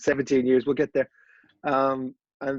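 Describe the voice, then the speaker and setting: Recorded dry and close with no echo, a man speaks at a medium pitch. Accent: Irish. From Ireland, Dublin. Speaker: golf media founder. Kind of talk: podcast interview.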